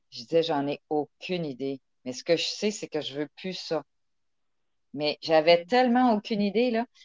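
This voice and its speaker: Pausing long and often, a woman speaks at a fairly slow pace in a fairly low pitch, her pitch swinging very widely and her loudness shifting a lot, in a dry, close sound with no echo. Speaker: engineer and humanitarian. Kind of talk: interview.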